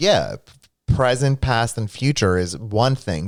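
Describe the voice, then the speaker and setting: On a very clean recording with a silent background, a man talks at a fairly slow pace and medium pitch with ordinary pitch variation. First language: Greek. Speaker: streamer co-host. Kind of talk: casual chat. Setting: live stream.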